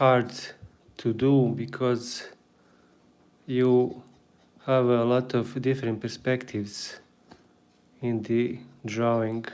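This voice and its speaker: With a Bosnian accent, a man speaks at a medium pitch in a monotone, flat intonation. His pace is very slow, broken by long, frequent pauses. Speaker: artist and drawing teacher. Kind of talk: live drawing tutorial. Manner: casual, halting.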